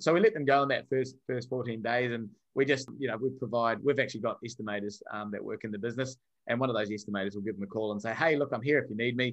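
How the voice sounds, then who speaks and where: A man speaks very fast at a medium pitch, his intonation fairly even against a quiet background. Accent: New Zealand. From New Zealand (Wellington). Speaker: software company founder, former fighter. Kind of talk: podcast interview.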